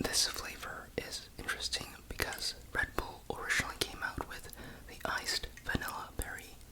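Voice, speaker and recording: Noticeable background noise surrounds a whispering man who keeps a moderate pace. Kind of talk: ASMR product review. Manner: whispered.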